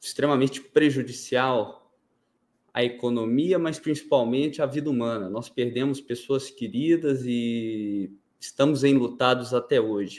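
Very slowly, a man talks at medium pitch with ordinary pitch variation. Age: 20s. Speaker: fintech founder. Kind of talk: interview. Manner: formal.

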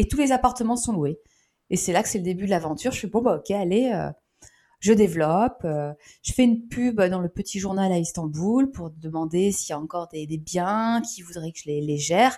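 Speaking at a moderate pace, a woman with a dark, mellow tone shows big swings in loudness. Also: medium pitch for a woman, lively intonation. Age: 40s. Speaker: startup founder. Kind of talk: interview.

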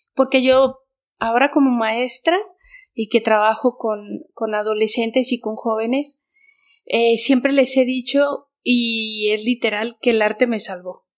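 Fairly high-pitched woman at a fairly slow pace, intonation fairly even. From Mexico City. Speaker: artist and art teacher. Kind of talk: interview.

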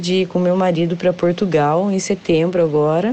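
Here a woman has a plain, everyday voice at a medium pitch. She speaks at a moderate pace. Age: 40s. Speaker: civil servant. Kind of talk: testimony.

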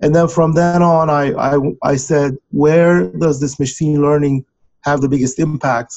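A man with a Turkish accent talks at a fairly slow pace, his pitch fairly high. His loudness stays very even, with ordinary pitch variation. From Turkey. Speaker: software company founder. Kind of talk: interview.

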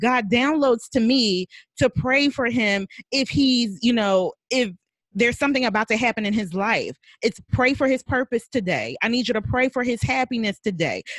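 In a very clean recording with a silent background and a dry, close sound with no echo, a woman with an unremarkable speaking voice talks at a moderate pace, her fairly high pitch showing ordinary variation and her loudness very even. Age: 40s. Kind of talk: casual chat.

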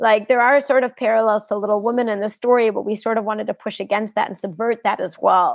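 A woman with an American accent, fairly high pitch and fairly even intonation, at a very fast pace. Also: hardly any pauses. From US. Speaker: film director. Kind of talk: casual interview. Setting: video call.

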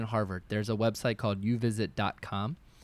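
A man with a normal speaking voice at a medium pitch, fairly quick, on a very clean recording with a silent background. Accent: American. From rural Maryland. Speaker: college counselor and middle school educator. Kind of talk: casual panel chat.

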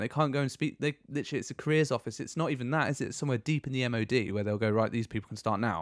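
Heard in a very clean recording with a silent background, a man uses an ordinary speaking voice at a medium pitch, his intonation lively. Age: 30s. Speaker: former Royal Marine, motivation podcast co-host. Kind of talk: casual chat.

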